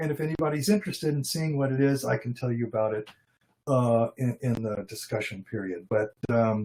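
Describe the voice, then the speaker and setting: A man's unremarkable speaking voice at a medium pitch, with ordinary pitch variation and a fairly quick pace. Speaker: logician and philosophy researcher. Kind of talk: academic lecture. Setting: online video presentation.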